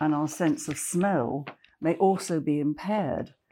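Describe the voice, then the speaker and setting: A woman speaks at a fairly slow pace with a dark, mellow tone and lively intonation. The recording is very clean, with a silent background. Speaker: architect. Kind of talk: casual interview chat. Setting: home sitting room.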